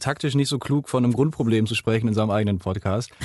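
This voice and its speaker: A man of medium pitch uses ordinary pitch variation, recorded with a dry, close sound with no echo over a quiet background. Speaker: campus radio podcast host. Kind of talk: casual interview. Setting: radio studio. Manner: energetic.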